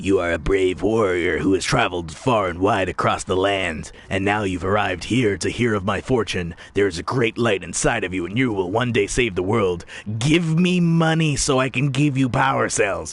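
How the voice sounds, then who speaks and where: A put-on character voice runs on with hardly any pauses over light background noise. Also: man, fairly low pitch for a man, moderate pace. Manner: grand, mystical, solemn.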